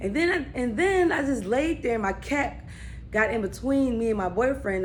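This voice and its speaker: A woman's voice comes with audible room echo. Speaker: vlogger. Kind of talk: casual storytelling vlog. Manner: rambling, halting with fillers.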